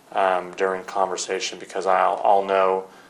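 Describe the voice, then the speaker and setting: There is audible room echo as a man speaks with a fairly low pitch. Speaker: defense attorney. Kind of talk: deposition questioning. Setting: conference room. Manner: halting, many fillers.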